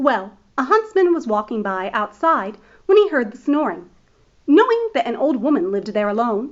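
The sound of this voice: The voice is an unforced reading voice. It reads the text through.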